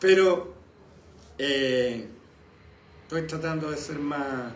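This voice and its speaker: In a Chilean accent, a man with a fairly high pitch and ordinary pitch variation speaks at a very slow pace, with audible room echo and noticeable background noise. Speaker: pastor. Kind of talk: sermon. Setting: live stream from home and church.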